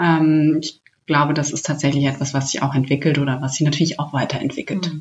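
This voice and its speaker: A woman speaks in a very deep, low pitch at a fairly quick pace, somewhat breathy, with monotone, flat intonation. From Hesse, Germany. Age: 30s. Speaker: startup program manager. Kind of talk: interview.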